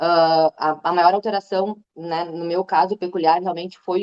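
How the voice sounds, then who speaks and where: At a moderate pace, a woman talks in a fairly low voice. Her intonation is monotone and flat. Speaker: veterinarian and breast cancer patient. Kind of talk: testimony. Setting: online live stream.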